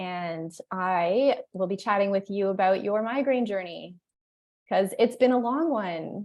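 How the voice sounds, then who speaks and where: A woman with a normal speaking voice talks at a fairly slow pace and medium pitch, with ordinary pitch variation. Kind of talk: interviewer, casual video call.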